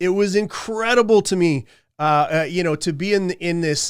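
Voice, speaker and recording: Recorded very cleanly against a silent background, a man speaks at a high pitch with ordinary pitch variation. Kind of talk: podcast monologue. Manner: halting, stuttering.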